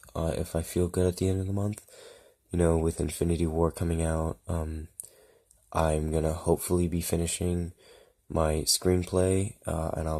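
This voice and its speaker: On a very clean recording with a silent background, a man speaks at a moderate pace. His very deep, low voice has a dark, mellow tone and fairly even intonation. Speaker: YouTuber, toy customizer. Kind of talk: tutorial. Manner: hesitant, many fillers.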